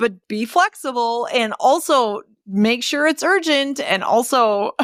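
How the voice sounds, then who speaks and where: Speaking at a fairly slow pace, a woman with an American accent sounds animated, her pitch swinging very widely. The recording is very clean and dry, close with no echo, and the background is silent. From Wisconsin. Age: 40s. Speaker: podcast host, entrepreneur. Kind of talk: casual interview chat.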